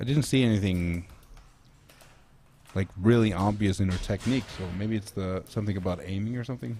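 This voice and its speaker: Fairly low in pitch, with a dark, mellow tone and ordinary pitch variation, a man talks at a fairly quick pace broken by long, frequent pauses. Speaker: sports commentator. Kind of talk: live commentary. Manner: casual, halting.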